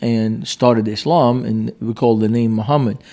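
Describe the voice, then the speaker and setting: A man's dark, mellow tone with an Arabic accent. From Lebanon, Beirut. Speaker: pastor. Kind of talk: interview. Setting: conference.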